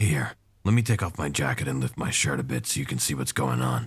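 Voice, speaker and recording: In a raspy, put-on character voice with a very deep, low pitch, a man talks at a fairly quick pace with lively intonation. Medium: audio drama. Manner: low-key, dry understatement.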